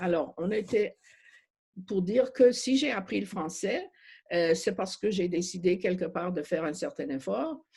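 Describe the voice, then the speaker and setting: A woman with a slight non-native accent talks at a fairly slow pace, her pitch medium and her intonation lively. Her tone is dark and mellow, and somewhat breathy. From Montreal, Quebec. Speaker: refugee advocate. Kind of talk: panel discussion. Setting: video call. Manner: halting.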